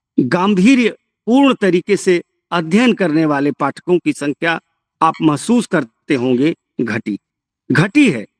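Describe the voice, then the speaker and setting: In a Bihari accent, a man with a high pitch speaks with very wide pitch swings, the sound dry and close with no echo. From Bhojpuri-speaking region, eastern Uttar Pradesh/western Bihar. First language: Bhojpuri (speaking Hindi). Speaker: professor. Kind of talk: lecture. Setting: remote lecture from a village.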